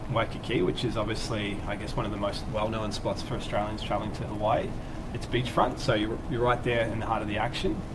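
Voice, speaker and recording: Against loud background noise, a man talks at a very fast pace. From Australia. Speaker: travel company staff. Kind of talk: casual chat. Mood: relaxed, friendly. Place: studio. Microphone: lapel.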